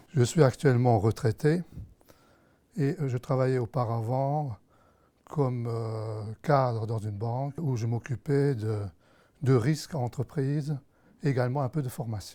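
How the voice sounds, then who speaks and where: With long, frequent pauses and ordinary pitch variation, a man talks fairly slowly in a medium pitch, recorded very cleanly against a silent background. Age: 60s. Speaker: Parkinson's patient. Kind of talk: testimony.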